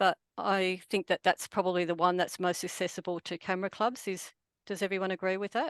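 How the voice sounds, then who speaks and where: A woman with an Australian accent talks at a fairly quick pace and medium pitch, with fairly even intonation. The sound is dry and close with no echo, against a quiet background. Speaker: photographer. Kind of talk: presentation.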